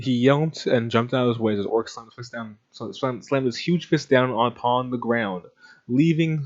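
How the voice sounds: Here is a natural reading voice with ordinary pitch variation.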